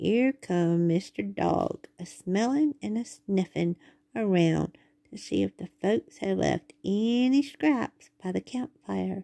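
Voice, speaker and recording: Using a put-on character voice, a woman drawls at a fairly slow pace with a medium pitch, recorded dry and close with no echo. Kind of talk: bedtime story. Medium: read story. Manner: folksy drawling dialect.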